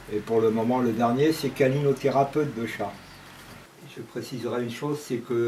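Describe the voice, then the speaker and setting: A man speaks at a moderate pace in an ordinary speaking voice. His pitch is medium and his intonation fairly even. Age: 60s. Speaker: retiree interviewee. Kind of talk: interview testimony.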